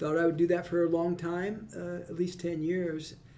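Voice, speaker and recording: A man with a Midwestern American accent talks at a fairly slow pace with a high pitch. Room echo is audible in the recording. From central Illinois. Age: 70s. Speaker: chamber of commerce executive, former state legislator. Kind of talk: casual interview conversation. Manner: talkative, repeats words.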